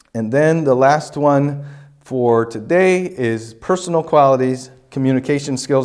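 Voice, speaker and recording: In a room with audible echo, a man talks at a fairly slow pace with a medium pitch and ordinary pitch variation. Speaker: college lecturer on teaching. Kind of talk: lecture. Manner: halting, many fillers.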